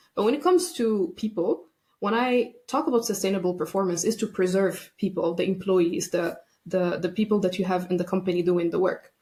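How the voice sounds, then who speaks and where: A woman speaks in a dark, mellow tone that is somewhat breathy. Her loudness stays very even. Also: medium pitch for a woman, ordinary pitch variation, fairly quick pace. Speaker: burnout and workplace wellbeing expert. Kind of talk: podcast interview.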